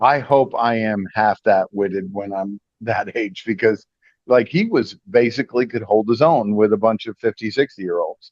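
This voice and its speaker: A man with an ordinary speaking voice, at a medium pitch and moderate pace, with ordinary pitch variation. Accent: American. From upstate New York. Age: 60s. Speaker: radio host. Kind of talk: casual interview.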